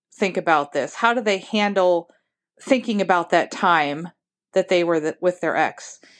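A woman with an American accent has a normal speaking voice. She talks at a moderate pace with lively intonation. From Ohio. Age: 50s. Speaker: listener leaving a voicemail. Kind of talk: voicemail message.

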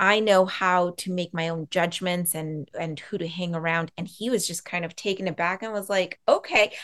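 A woman talks at a moderate pace in a fairly low pitch with fairly even intonation. She hardly pauses, and hers is an unremarkable speaking voice. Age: 40s. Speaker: boundaries coach and Reiki practitioner. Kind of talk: casual interview.

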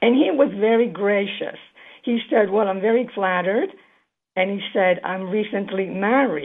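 Speaking at a medium pitch and a fairly slow pace, a woman shows ordinary pitch variation.

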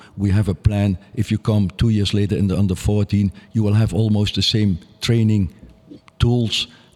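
A man with a Dutch accent speaks at a moderate pace and a fairly low pitch. His intonation is flat and monotone, and his loudness stays very even. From Netherlands, Nijmegen. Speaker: youth soccer coach. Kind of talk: interview.

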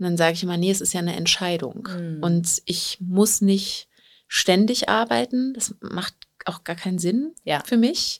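This woman has an unremarkable speaking voice at a medium pitch, with lively intonation and a fairly slow pace. The sound is dry and close, with no echo. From Berlin, Germany. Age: 30s. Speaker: professional organizer and coaching client. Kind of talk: interview. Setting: studio.

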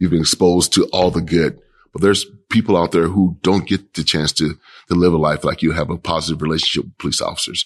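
A man speaks at a very fast pace with an American accent. His voice is very deep and low, with monotone, flat intonation. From Kansas City, Kansas. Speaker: police chief. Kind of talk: interview.

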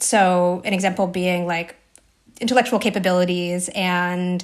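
A woman speaks at a medium pitch and a fairly slow pace, in a plain, everyday voice. The recording is very clean, with a silent background. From US Northeast, New Jersey. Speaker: journalist and author. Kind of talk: casual interview.

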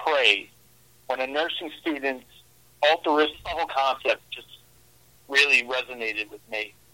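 In a New York accent, a man talks at a fairly slow pace and a fairly high pitch. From New York, Brooklyn. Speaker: horror author. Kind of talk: interview.

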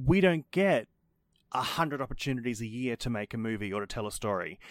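This very clean recording, with a silent background and a dry, close sound with no echo, features a man with an Australian accent speaking at medium pitch with lively intonation. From Brisbane, Australia. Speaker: podcast host. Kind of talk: casual chat.

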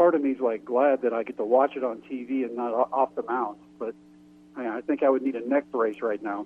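A man talks in a plain, everyday voice at a medium pitch. He keeps a moderate pace and fairly even intonation. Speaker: former pro baseball pitcher. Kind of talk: radio interview.

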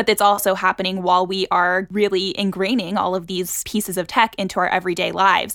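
A woman with an American accent talks at a very fast pace with hardly any pauses. Her medium-pitched voice stays monotone and flat. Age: 20s. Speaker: journalist and podcast host. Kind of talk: interview conversation.

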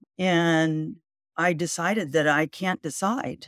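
With an American accent and ordinary pitch variation, a woman is heard. The recording is very clean and dry, close with no echo and a silent background. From US West Coast (Whittier, southern California). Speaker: adoptee and aspiring author. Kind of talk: interview storytelling. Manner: halting.

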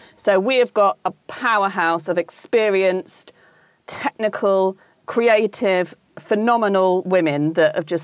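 With a British accent, a woman talks at a medium pitch in a dry, close sound with no echo. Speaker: lingerie brand co-founder. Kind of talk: interview chat.

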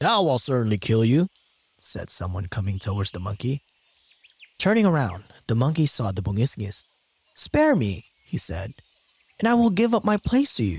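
A man with a medium-pitched, somewhat breathy voice speaks at a moderate pace with very wide pitch swings, and the sound is dry and close with no echo. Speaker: podcast narrator. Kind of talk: scripted folklore storytelling narration, retelling a fable. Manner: measured storyteller pacing.

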